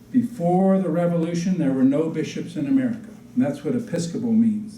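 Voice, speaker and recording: A man speaks in a high pitch with a dark, mellow tone. Room echo is audible. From Virginia, US South. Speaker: Episcopal priest. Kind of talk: public history talk. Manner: informal, folksy.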